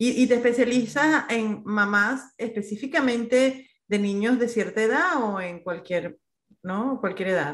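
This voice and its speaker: Against a quiet background, a woman with a normal speaking voice talks at a fairly slow pace, her fairly high pitch carried by lively intonation. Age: 40s. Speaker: podcast host. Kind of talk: casual interview.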